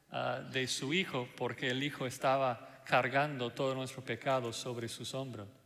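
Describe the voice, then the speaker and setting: A man with a non-native accent speaks at a fairly slow pace in a monotone, flat intonation. Audible room echo is present. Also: medium pitch for a man. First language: not Spanish (speaking Spanish). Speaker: pastor. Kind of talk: sermon. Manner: hesitant fillers (ah, eh).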